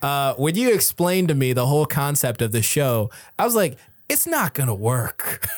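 A normal speaking voice from a man with an American accent, fairly high pitch, lively intonation, very even loudness and a moderate pace, on a very clean recording with a silent background. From US. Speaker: comedian and entertainer. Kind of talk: casual chat.

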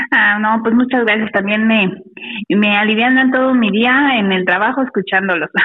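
With noticeable background noise, a woman with a fairly high pitch speaks at a fairly slow pace, with very even loudness and ordinary pitch variation. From Mexico City. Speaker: caller. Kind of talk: telling a story by phone. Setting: phone call.

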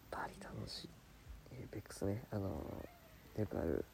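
A man is whispering. He keeps a moderate pace. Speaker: Buddhist monk, podcast co-host. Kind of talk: casual chat. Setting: campsite, by a campfire. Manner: quieter than usual.

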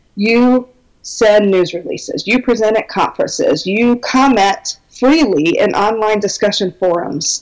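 Speaking at a fairly slow pace, a woman uses an unremarkable speaking voice, fairly high in pitch, with lively intonation. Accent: American. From Minnesota, US Midwest. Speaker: belly dance business teacher. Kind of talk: casual interview, informative.

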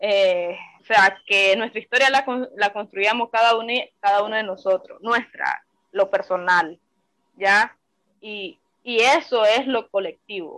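Her tone is bright and sharp, with a fairly high pitch and ordinary pitch variation. The woman moves at a fairly slow pace with long, frequent pauses. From Nicaragua, Granada. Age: 20s. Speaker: exiled activist. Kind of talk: testimony.

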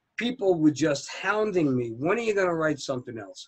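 High-pitched with lively intonation, a man talks in an American accent. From New Jersey, near New York City. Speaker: author. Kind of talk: casual interview chat. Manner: chatty, relaxed.

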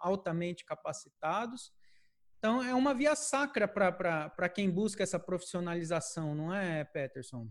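Speaking at a fairly slow pace with very wide pitch swings, this voice comes through on a very clean recording against a silent background. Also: man, high pitch for a man. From Brazil, interior of São Paulo state (Presidente Prudente). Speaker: podcast host. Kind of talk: casual interview chat.

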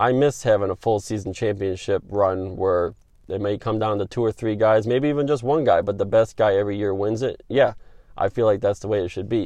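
A man's fairly low, dark, mellow voice with an upstate New York accent, fairly even intonation and a fairly quick pace, against a quiet background. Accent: northeastern US (upstate New York). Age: 30s. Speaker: sports podcast host. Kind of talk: solo opinion podcast monologue.

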